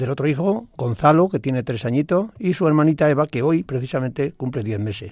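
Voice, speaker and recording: A man speaks in a plain, everyday voice at a fairly quick pace and fairly high pitch. His intonation is lively, on a very clean recording with a silent background. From Spain (Badajoz and Toledo provinces). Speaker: retired Civil Guard officer. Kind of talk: radio interview. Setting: radio studio.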